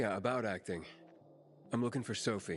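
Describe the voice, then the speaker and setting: In a raspy, put-on character voice, a man of medium pitch talks at a fairly quick pace with ordinary pitch variation over clear background noise. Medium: video game. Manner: dry, sarcastic.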